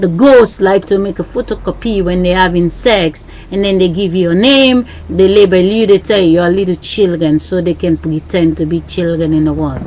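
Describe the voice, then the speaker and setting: Speaking at a moderate pace with a Sierra Leonean accent, a woman has a fairly low pitch and ordinary pitch variation. Noticeable background noise is present. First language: Krio. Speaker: vlogger. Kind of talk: monologue. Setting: webcam recording.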